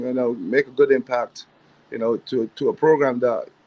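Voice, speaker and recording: Recorded dry and close with no echo, a man with a strong African accent speaks with fairly even intonation. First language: not English (African language). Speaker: assistant basketball coach. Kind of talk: interview. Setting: livestream.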